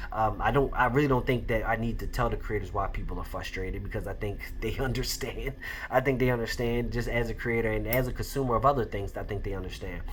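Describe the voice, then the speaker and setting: A man speaks at a very fast pace, with audible room echo and noticeable background noise in the recording. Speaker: podcast host and indie comic creator. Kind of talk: casual solo commentary.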